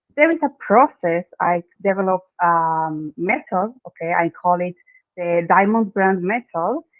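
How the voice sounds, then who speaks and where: With an Argentine accent, a woman talks at a fairly slow pace. Her medium pitch shows ordinary pitch variation. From Argentina. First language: Spanish. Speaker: branding expert. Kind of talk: interview. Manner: halting, non-native phrasing.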